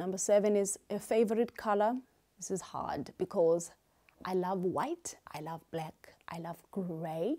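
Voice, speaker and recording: A woman with a dark, mellow tone speaks fairly slowly with ordinary pitch variation and big swings in loudness over a quiet background. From South Africa, Eastern Cape. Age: 30s. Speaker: YouTuber and beauty salon owner. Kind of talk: casual Q&A vlog. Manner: animated, energetic. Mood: cheerful, animated. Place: home room. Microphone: lapel.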